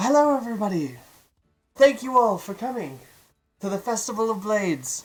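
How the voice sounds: A put-on character voice booms out loud at a fairly high pitch. The pace is moderate.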